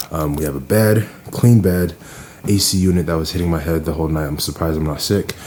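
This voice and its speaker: A man speaks quietly in a very deep, low pitch. Noticeable background noise sits behind him. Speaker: vlogger. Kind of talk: casual vlog talk. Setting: cabin getaway, outdoors/indoors vlog. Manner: quiet, talking low.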